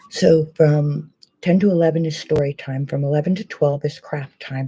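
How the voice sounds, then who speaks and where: A woman's voice sits very deep and low, with a dark, mellow tone. It is somewhat breathy, and her intonation stays fairly even. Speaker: beauty vlogger. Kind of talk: casual chat. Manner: fast.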